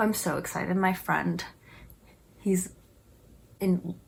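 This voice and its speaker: At a moderate pace, a woman talks in a somewhat breathy voice at a medium pitch. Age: 20s. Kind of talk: casual talk to camera. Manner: chatty.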